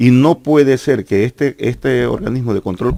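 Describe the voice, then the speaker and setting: At a moderate pace, a man talks in a medium pitch with ordinary pitch variation, the sound dry and close with no echo. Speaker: teachers' union leader and former politician. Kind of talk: heated debate. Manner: insistent, halting with repetitions.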